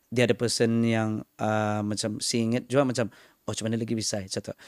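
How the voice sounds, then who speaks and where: A man speaks at a medium pitch with a Malaysian accent. The sound is dry and close, with no echo. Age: 30s. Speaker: stand-up comedian. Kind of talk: casual interview chat mixing English and Malay.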